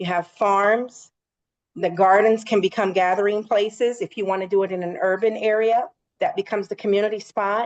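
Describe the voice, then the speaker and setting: Fairly even intonation and medium pitch from a woman with an ordinary speaking voice, at a moderate pace. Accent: American. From rural Virginia, US. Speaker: army veteran and farmer. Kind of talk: interview.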